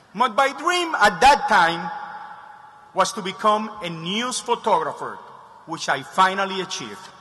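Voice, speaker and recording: With a Spanish accent, a man projects his raised, high-pitched voice at a fairly slow pace, using lively intonation and long, frequent pauses, amid noticeable background noise and audible room echo. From Cuba, then Spain and Miami. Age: 50s. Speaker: commencement speaker, photographer. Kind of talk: commencement speech. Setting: stage with large audience.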